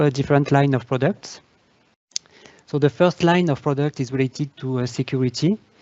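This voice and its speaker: The man's speech shows ordinary pitch variation. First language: French. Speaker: data governance leader. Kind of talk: webinar presentation. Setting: online webcast. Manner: hesitant, many fillers.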